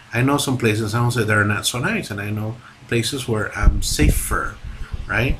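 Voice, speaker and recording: There is noticeable background noise as a man talks at a medium pitch. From Latin America. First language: Spanish. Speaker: movie reviewer. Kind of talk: video review monologue. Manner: halting, many fillers and restarts; animated.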